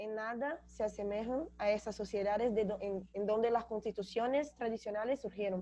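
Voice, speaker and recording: A woman with a Brazilian accent speaks at a moderate pace with hardly any pauses, her fairly high, dark and mellow voice keeping a fairly even intonation. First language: Portuguese (speaking Spanish). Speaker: graduate student panelist. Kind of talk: academic seminar talk. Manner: halting, with self-corrections.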